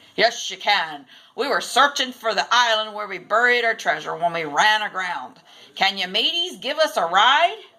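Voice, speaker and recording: At a moderate pace, a woman uses a put-on character voice pitched fairly high. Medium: read story.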